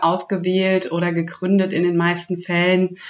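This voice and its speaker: A woman speaks at a medium pitch and a moderate pace. Noticeable background noise runs behind her. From Hesse, Germany. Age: 30s. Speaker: startup program manager. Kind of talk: interview.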